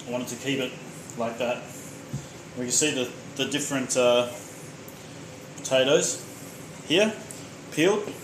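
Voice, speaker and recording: With an Australian accent and a medium-pitched voice, a man speaks at a moderate pace with ordinary pitch variation and long, frequent pauses, amid audible room echo and noticeable background noise. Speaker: home cook streamer. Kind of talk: live cooking stream. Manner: loud.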